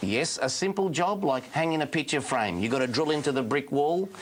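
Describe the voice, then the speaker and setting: A man's fairly high-pitched, an ordinary speaking voice, with lively intonation. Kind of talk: infomercial product demonstration.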